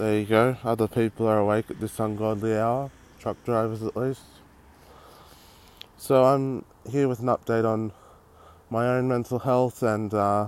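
A man with an Australian accent, medium pitch, a moderate pace, flat monotone intonation, and long, frequent pauses. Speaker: podcast host. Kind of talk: casual monologue. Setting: outdoors on a street.

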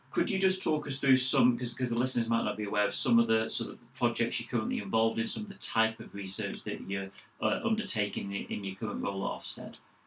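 Over noticeable background noise, a man talks at a very fast pace with hardly any pauses, at medium pitch and with ordinary pitch variation. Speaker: school research director, co-host. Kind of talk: interview.

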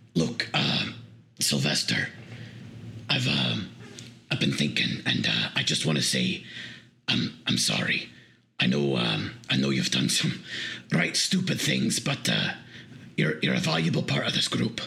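A man's put-on character voice, raspy and very deep, at a fairly slow pace with long, frequent pauses. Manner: gruff but earnest, apologetic.

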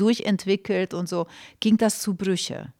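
A woman with a Hungarian accent at medium pitch, in a very clean recording with a silent background. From Romania, Hungarian minority. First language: Hungarian (speaking German). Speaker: film and theatre director. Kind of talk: casual interview. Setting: studio.

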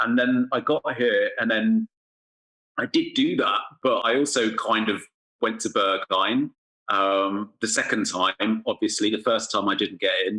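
A man with an English accent speaks at a fairly slow pace and very even loudness, the sound dry and close with no echo. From England. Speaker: music writer and podcaster. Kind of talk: casual interview. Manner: halting, many fillers and repetitions.

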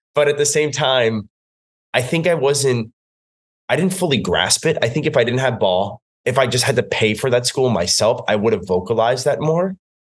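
With an American accent, a somewhat breathy man talks at a moderate pace and medium pitch, his intonation lively and his loudness very even. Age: 30s. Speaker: fitness instructor. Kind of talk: casual chat.

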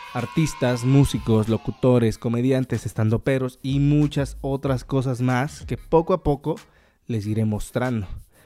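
A man's medium-pitched voice at a fairly slow pace, ordinary pitch variation, music in the background. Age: 20s. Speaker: podcast host, drummer. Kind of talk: casual monologue.

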